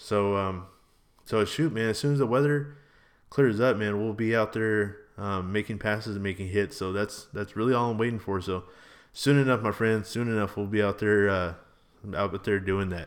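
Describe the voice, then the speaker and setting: A man with a normal speaking voice, fairly low in pitch, at a moderate pace with fairly even intonation, in a very clean recording with a silent background. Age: 30s. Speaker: motorcycle vlogger and podcaster. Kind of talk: casual monologue podcast. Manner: casual, filler-heavy.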